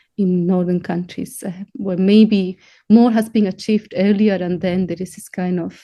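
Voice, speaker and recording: A woman speaks in a Spanish accent at a medium pitch. Her tone is dark and mellow, and her intonation fairly even. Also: moderate pace. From Spain. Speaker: composer and professor. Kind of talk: interview.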